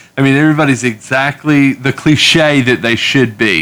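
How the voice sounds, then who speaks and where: A man's bright, sharp voice at a moderate pace, with fairly even intonation. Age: 30s. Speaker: comic book podcast co-host. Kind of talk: casual chat.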